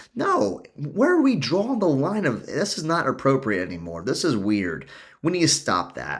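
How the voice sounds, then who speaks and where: A man's animated voice with very wide pitch swings and vocal fry, at a moderate pace. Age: 40s. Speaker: life coach podcast host. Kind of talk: solo podcast monologue.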